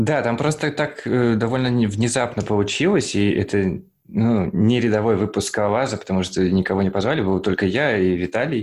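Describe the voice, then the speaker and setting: A man's normal speaking voice, fairly low in pitch, at a moderate pace with ordinary pitch variation and very even loudness, over a quiet background. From Kazan, Russia. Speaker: podcast host, programmer. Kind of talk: casual chat among friends.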